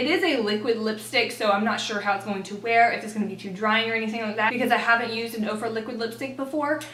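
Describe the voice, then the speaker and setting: Audible room echo and noticeable background noise surround the recording. A woman talks at a very fast pace. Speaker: beauty vlogger. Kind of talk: product unboxing review. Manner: animated.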